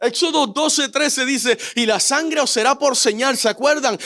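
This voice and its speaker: A man speaks with an extremely high pitch. His pitch varies an ordinary amount at a moderate pace. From Puerto Rico. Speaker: pastor. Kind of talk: sermon.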